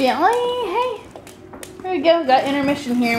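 Noticeable background noise runs beneath a woman's speech. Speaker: vlogger. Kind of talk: casual chat. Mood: cheerful, relaxed. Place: home room. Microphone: phone near.

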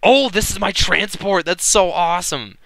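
A man's voice with music in the background. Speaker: let's play commentator. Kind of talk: casual gameplay commentary.

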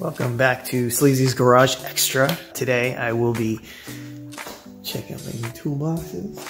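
A man speaks at a fairly slow pace with ordinary pitch variation. Clear music runs in the background. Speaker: car hobbyist vlogger. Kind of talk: casual vlog chat. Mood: relaxed, cheerful. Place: garage. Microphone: phone near.

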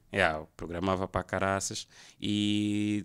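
A man talks at a very slow pace in a fairly low pitch. The background is quiet. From Angola, Luanda; Angola. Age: 30s. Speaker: photographer and graphic designer; podcast guest. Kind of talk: casual chat. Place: studio. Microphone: studio mic.

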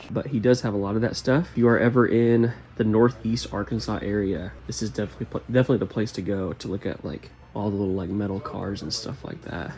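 Lively intonation marks a man's fairly low voice as he talks at a very fast pace. Light background noise can be heard. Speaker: toy collector vlogger. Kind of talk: casual vlog chat. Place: shop. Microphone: phone near.

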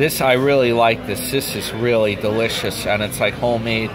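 A man's intonation stays fairly even while noticeable background noise runs behind him. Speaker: travel vlogger. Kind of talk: casual vlog chat. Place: cafe. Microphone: phone near.

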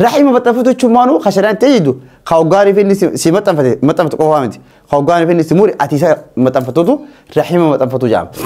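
With an Ethiopian accent, a man talks at a very fast pace in a high pitch with very wide pitch swings. His tone is dark and mellow, over a quiet background. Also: very even loudness. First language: Afaan Oromo (speaking Arabic). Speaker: Islamic teacher; religious teacher. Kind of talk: religious lesson. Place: classroom. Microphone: lapel.

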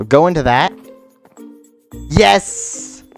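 Very wide pitch swings mark this man's voice, with music in the background. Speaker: Minecraft let's play YouTuber. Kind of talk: casual gameplay commentary. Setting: home microphone, poor audio quality.

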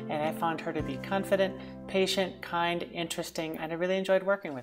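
Over clear music in the background, a woman with a fairly low pitch talks very fast with ordinary pitch variation. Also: big swings in loudness. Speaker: language learner. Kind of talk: student testimonial. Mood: warm, enthusiastic. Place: home room. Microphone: earbuds.

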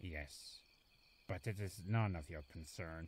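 In a cartoonish character voice, a man speaks slowly at a low pitch with a slightly husky edge and ordinary pitch variation.

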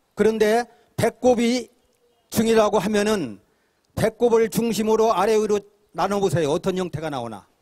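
This man's voice sits high in pitch, with ordinary pitch variation. He moves at a moderate pace, broken by long, frequent pauses. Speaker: independent scholar. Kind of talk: public speech. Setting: outdoor rally.

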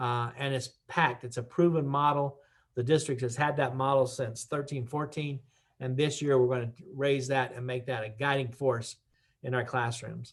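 At a moderate pace, a man with a medium pitch speaks in a flat monotone, sounding somewhat breathy. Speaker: school superintendent. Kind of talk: town hall presentation. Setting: online broadcast.

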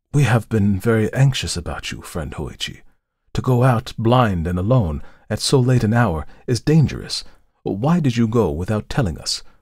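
Putting on a gravelly character voice, a man speaks at medium pitch and a moderate pace with lively intonation. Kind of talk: formal archaic speech. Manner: gentle, concerned, gravely warning.

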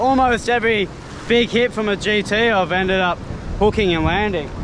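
A man talks at a fairly slow pace with ordinary pitch variation. Faint background noise can be heard.

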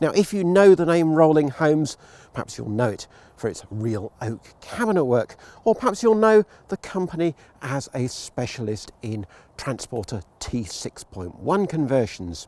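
A man speaks at a fairly slow pace in a dark, mellow tone with very wide pitch swings, the sound dry with no echo. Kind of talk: vehicle review presentation. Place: open country.

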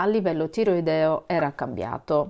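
At a fairly slow pace, a woman talks with lively intonation. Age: 50s. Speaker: vlogger. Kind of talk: casual vlog talk to camera. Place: home room. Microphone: phone near.

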